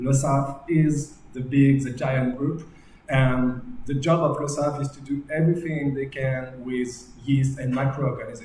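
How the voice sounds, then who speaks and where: A man speaks fairly slowly in a flat monotone at a fairly high pitch. Audible room echo and noticeable background noise surround him. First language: French. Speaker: yeast company manager giving a brewing talk. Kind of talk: technical presentation. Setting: live stream from a brewery. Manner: hesitant, many filler sounds.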